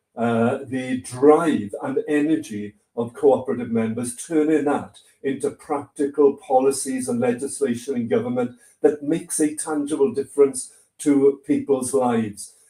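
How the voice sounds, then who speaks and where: A man with a Welsh accent speaks at a fairly high pitch in a dark, mellow tone, his pitch varying in an ordinary way. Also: moderate pace. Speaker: politician. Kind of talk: speech. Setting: online livestream.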